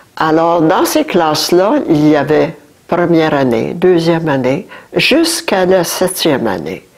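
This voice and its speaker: Noticeable background noise can be heard. A woman talks through it. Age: 80s+. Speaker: great-grandmother visiting a school class. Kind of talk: talk to schoolchildren about the past. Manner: halting with hesitations.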